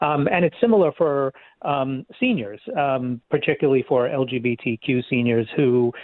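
Talking at a fairly slow pace, a man speaks with a New York accent. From Queens, New York City. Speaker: nonprofit leader. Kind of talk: interview.

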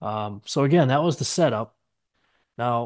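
A man with an unremarkable speaking voice, at a fairly slow pace. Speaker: machinery auction analyst. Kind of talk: casual chat.

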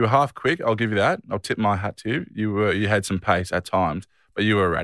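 With an Australian accent, a man speaks at a very fast pace in a fairly low pitch with ordinary pitch variation, recorded very cleanly against a silent background with a dry, close sound and no echo. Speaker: professional footballer and podcast co-host. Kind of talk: casual chat.

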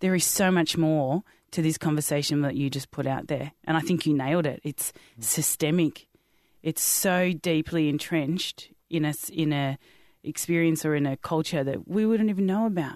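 A woman with an Australian accent and a very deep, low pitch, at a moderate pace with ordinary pitch variation. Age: 30s. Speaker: podcast host. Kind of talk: casual chat. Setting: studio. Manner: animated.

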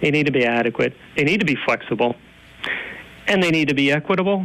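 Using a normal speaking voice, a man with an American accent shows ordinary pitch variation. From northeastern Pennsylvania. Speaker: environmental advocacy director. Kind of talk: interview.

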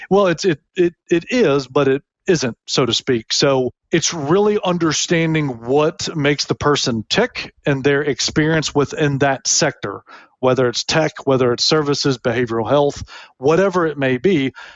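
An unremarkable speaking voice from a man with an American accent, fairly high pitch, ordinary pitch variation, very even loudness, and a moderate pace. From US South, Tennessee (Memphis). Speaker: executive recruiter. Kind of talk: interview. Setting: podcast interview.

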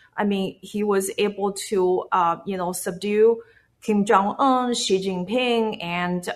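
A woman with a Chinese accent speaks at a medium pitch and a fairly slow pace. Her pitch moves in an ordinary way against a quiet background. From China. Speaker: activist. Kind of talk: interview. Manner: halting.

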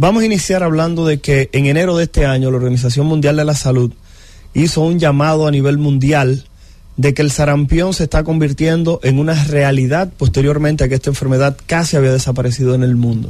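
Speaking at a fairly quick pace, a man has a fairly high pitch and a dark, mellow tone. His loudness is very even and his intonation fairly even. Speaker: infectious disease doctor. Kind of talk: radio health interview.

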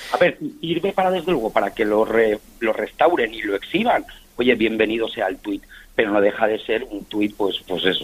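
Lively intonation marks a man's unremarkable speaking voice, pitched in the medium range and delivered at a moderate pace. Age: 50s. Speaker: football fan and collector. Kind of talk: radio interview.

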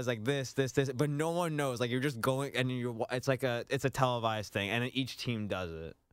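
A normal speaking voice with ordinary pitch variation, captured in a very clean recording against a silent background. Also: man. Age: 20s. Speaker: radio show producer. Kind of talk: casual chat.

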